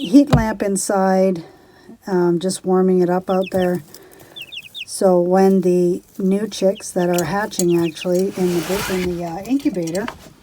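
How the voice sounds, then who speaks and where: At a fairly slow pace, a woman of medium pitch talks with fairly even intonation amid noticeable background noise. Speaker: homesteading vlogger. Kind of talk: casual vlog tutorial. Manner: soft-spoken.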